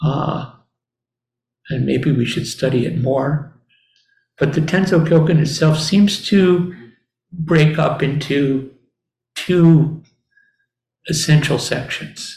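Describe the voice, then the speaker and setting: The speech moves at a very slow pace, broken by long, frequent pauses. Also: man, fairly high pitch for a man. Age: old. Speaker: Zen teacher. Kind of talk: dharma talk.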